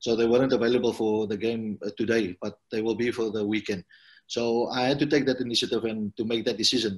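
A fairly quick pace against a quiet background. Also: man. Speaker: football head coach. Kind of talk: interview answer. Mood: calm, pleased after win. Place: home room. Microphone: video call.

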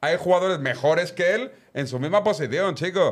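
The speech moves at a fairly quick pace with lively intonation. The background is quiet. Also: man. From Barcelona, Spain; Spain. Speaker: football pundit. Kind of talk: casual chat. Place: studio. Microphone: studio mic.

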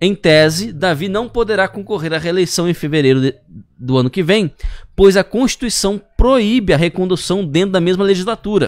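A man with a high pitch talks at a moderate pace, the sound dry with no echo and the background quiet. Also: ordinary pitch variation. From Brazil. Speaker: news show host. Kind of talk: news reading. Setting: studio. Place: studio. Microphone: studio mic.

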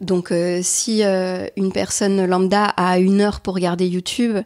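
A woman's dark, mellow tone on a very clean recording with a silent background. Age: 30s. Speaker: youtuber and artist. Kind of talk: interview. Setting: at home.

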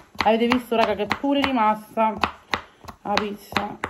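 There is noticeable background noise. Over it, a woman talks at a fairly slow pace. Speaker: home cooking vlogger. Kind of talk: casual vlog chat. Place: kitchen. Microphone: phone near.

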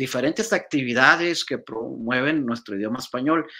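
A man speaks against a quiet background. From northern Mexico, Reynosa, Tamaulipas; Tamaulipas, Mexico. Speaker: Spanish professor. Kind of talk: interview. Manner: hesitant, many fillers. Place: home room.

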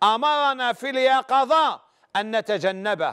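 A man's extremely high voice with an Algerian accent, very slow, bright and sharp in tone, over a quiet background. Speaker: religious scholar answering questions. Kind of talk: religious advice call-in show. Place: studio. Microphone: lapel.

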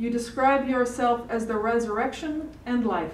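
In a room with audible echo, a woman speaks fairly slowly at a high pitch. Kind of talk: prayer. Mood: solemn, calm. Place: hall. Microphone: podium.

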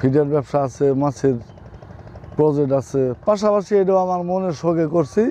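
Ordinary pitch variation runs through a man's voice in a dry sound with no echo. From Bangladesh, Sherpur district; Bangladesh. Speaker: lemon farmer. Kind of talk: interview answers. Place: farm.

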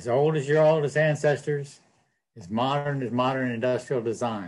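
A man's somewhat breathy voice at medium pitch and moderate pace, with ordinary pitch variation, big swings in loudness and a quiet background. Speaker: herbalist and storyteller; storyteller. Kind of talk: live talk with storytelling. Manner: lively, folksy. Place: home room. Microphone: webcam.

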